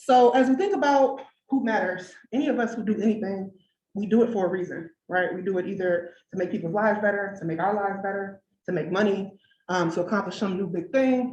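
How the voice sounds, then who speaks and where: With an American accent, a woman speaks at a fairly quick pace in a somewhat breathy, medium-pitched voice with ordinary pitch variation. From Detroit, Michigan, US. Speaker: engineer and researcher speaking at a design event. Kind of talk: conference talk. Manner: fast; conversational, lots of 'right?'.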